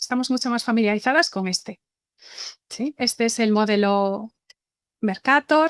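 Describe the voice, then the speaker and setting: A fairly high-pitched woman with a Galician accent and ordinary pitch variation, on a very clean, silent recording with a dry, close sound and no echo. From Galicia, Spain. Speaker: university professor, webinar speaker. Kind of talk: lecture. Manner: hesitant with repetitions.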